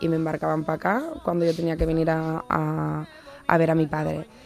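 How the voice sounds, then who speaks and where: There is noticeable background noise behind this woman's voice. She speaks at a moderate pace with a fairly low pitch. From Spain, raised between Seville and Barcelona. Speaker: journalist. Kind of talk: interview. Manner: halting, many fillers and restarts.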